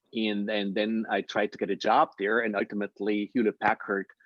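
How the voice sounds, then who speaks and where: This man talks very fast. His voice sits at a medium pitch. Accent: Austrian. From Austria. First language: German. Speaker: impact investor. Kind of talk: interview Q&A.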